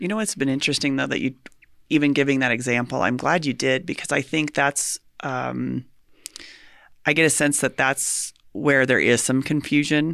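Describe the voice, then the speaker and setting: The recording is very clean, with a silent background. A woman speaks in a very deep, low pitch with vocal fry and fairly even intonation. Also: moderate pace. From rural US. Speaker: podcast host. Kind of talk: interview conversation. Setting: in person.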